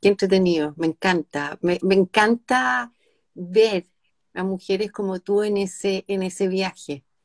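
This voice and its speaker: Heard in a dry, close sound with no echo, a woman with a Chilean accent talks at a fairly slow pace. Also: medium pitch for a woman, ordinary pitch variation. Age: 50s. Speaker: live stream host. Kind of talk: casual interview chat.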